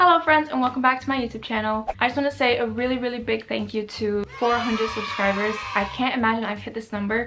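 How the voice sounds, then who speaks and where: Speaking at a very fast pace with a Portuguese accent, a woman with a fairly high pitch is heard over noticeable background noise. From Brazil, then Cayman Islands and Miami. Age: 20s. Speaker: lifestyle YouTuber. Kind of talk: casual vlog talk to camera. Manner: chatty, filler-heavy.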